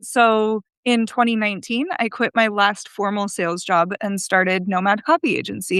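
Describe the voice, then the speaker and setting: A woman with an American accent speaks at a moderate pace in an unremarkable speaking voice, fairly high in pitch with ordinary pitch variation, recorded dry and close with no echo against a quiet background. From United States. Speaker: copywriter, agency founder. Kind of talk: podcast interview.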